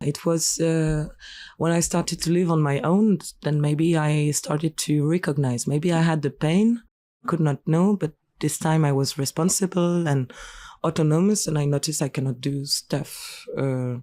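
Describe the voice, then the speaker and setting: In a very clean recording with a silent background, a woman speaks with a French accent at a very deep, low pitch. Her tone is dark and mellow, with very even loudness and ordinary pitch variation. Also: moderate pace. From France. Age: 20s. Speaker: singer and clown. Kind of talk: interview. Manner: halting.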